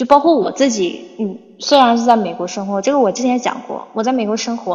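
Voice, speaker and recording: With an unremarkable speaking voice, a woman talks at a fairly high pitch and moderate pace with ordinary pitch variation. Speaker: English teacher. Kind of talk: livestream chat. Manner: casual, filler-heavy.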